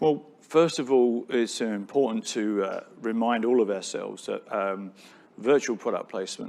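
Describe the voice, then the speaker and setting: In a British accent, a man talks at a moderate pace with a medium pitch and ordinary pitch variation. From Britain. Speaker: tech company founder. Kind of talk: onstage interview. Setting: stage with audience.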